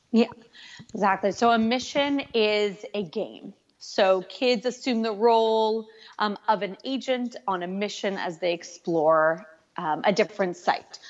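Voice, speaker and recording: Speaking in an American accent, a woman has an ordinary speaking voice at a medium pitch. She goes at a fairly slow pace with ordinary pitch variation. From California. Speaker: educational tech company representative. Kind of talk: interview.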